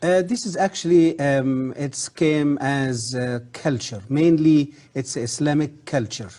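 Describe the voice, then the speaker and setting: Against a quiet background, a man with an Arabic accent speaks very slowly in a dark, mellow tone, hardly pausing at all. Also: fairly high pitch for a man, ordinary pitch variation. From Egypt, south part. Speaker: former professor of Islamic history. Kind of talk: interview. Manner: hesitant, many fillers.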